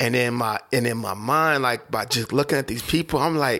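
In an American accent, a man with a bright, sharp tone and vocal fry speaks at a moderate pace and medium pitch with fairly even intonation. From Oklahoma City. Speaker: rapper. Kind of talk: casual chat. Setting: studio. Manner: halting, many fillers.

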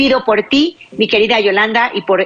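An animated woman's voice with lively intonation over noticeable background noise. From Mexico, Baja California Sur. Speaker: radio host, psychologist. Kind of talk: religious call-in radio show.

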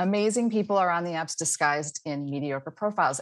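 In a quiet background, a woman speaks at a moderate pace with a fairly low pitch and ordinary pitch variation. It is an ordinary speaking voice. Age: 50s. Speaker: dating coach. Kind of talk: casual chat.

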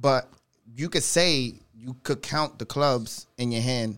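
Speech comes at a very slow pace with fairly even intonation on a very clean recording with a silent background. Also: man. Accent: New York. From New York, the Bronx. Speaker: DJ. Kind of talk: casual chat.

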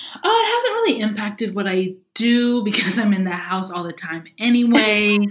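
A woman's fairly high, animated voice at a moderate pace, with ordinary pitch variation, hardly any pauses and noticeable background noise. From Louisiana. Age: 30s. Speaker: YouTube video creator. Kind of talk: casual interview chat. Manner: animated, laughs often.

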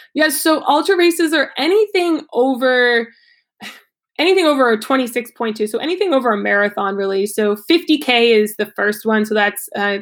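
Set against a very clean recording with a silent background, a normal speaking voice with an American accent goes at a fairly slow pace. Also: woman. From Ohio, US Midwest. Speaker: yoga teacher and fitness coach. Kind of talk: interview.

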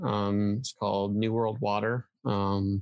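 With an American accent, a man with an unremarkable speaking voice and fairly low pitch talks at a fairly slow pace with fairly even intonation, the sound dry and close with no echo. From US Midwest (Iowa). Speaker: filmmaker. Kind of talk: casual interview.

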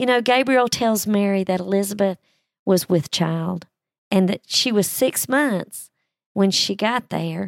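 In a very clean recording with a silent background, a woman with an unremarkable speaking voice and medium pitch talks at a fairly slow pace with ordinary pitch variation, the sound dry and close with no echo. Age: 60s. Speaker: Bible teacher podcaster. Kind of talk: Bible study talk.

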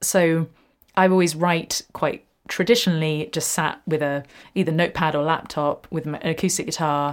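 Moderate pace and fairly even intonation on a very clean recording with a silent background. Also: woman, very deep, low pitch for a woman. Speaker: musician and video creator. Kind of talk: casual chat, laughing and self-deprecating. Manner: rambling, halting with fillers and laughs.

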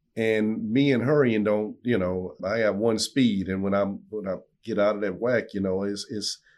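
With a South Louisiana accent, a man of fairly low pitch speaks at a moderate pace with ordinary pitch variation over a quiet background. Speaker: owner-operator truck driver. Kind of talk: casual interview. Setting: studio.

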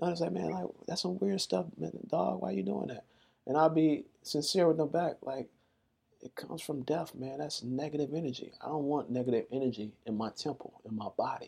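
A man with an American accent speaks at a moderate pace, fairly high for a man, with a dark, mellow tone. His intonation is lively, and vocal fry comes through. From Chicago, US Midwest. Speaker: vegan activist and entrepreneur. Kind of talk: interview.

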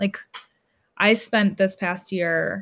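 A woman with an American accent speaks very slowly at a medium pitch with ordinary pitch variation. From Cleveland, Ohio. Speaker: podcast co-host, guest. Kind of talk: casual interview. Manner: animated.

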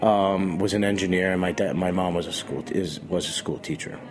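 Over noticeable background noise, a man speaks at a moderate pace with an American accent. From Boston, Massachusetts. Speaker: chef. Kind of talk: casual interview. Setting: radio studio.

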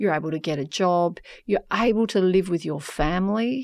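In a very clean recording with a silent background, a woman with an Australian accent speaks at a fairly slow pace. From Western Australia (York, country town). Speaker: human rights professor. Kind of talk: interview.

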